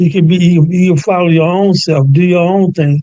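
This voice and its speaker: High-pitched, a man speaks with an American accent in a dark, mellow tone. His intonation is monotone and flat, his pace moderate. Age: 70s. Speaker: musician and producer. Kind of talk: interview. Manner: halting, repetitive.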